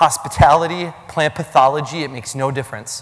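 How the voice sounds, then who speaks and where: An American accent with ordinary pitch variation over noticeable background noise. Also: man. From Minnesota. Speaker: keynote speaker on generations. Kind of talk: keynote talk. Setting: stage with audience. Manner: animated.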